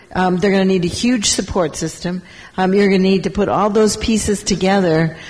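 A woman at medium pitch and moderate pace, with very even loudness, fairly even intonation and noticeable background noise. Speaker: mayor. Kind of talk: panel discussion.

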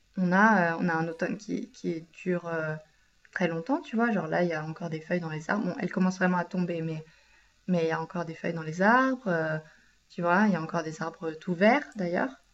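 Over noticeable background noise, a woman moves at a fairly quick pace, her pitch varying in an ordinary way. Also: fairly low pitch for a woman. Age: 20s. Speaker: podcast co-host. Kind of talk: casual chat.

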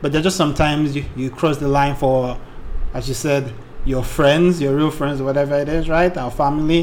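With audible room echo, a man with a fairly high voice speaks at a fairly quick pace in fairly even intonation. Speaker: podcast co-host. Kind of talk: casual chat.

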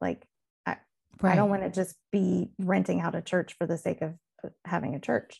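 With a Southern US accent, a woman speaks at a moderate pace, leaving long, frequent pauses. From Mississippi, US South. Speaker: music director and navy band veteran. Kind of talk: casual chat.

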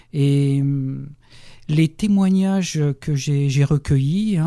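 With a dark, mellow tone, a man speaks very slowly in a fairly high pitch with ordinary pitch variation. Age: 50s. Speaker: journalist and novelist. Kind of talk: radio interview. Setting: radio studio. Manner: halting, many repetitions and hesitations.

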